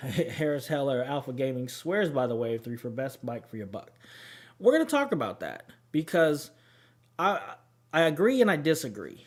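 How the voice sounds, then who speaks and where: A man with a fairly high pitch and lively intonation speaks at a moderate pace, leaving long, frequent pauses. His loudness swings widely, and the recording is very clean with a silent background. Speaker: gaming streamer. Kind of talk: casual chat. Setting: live stream.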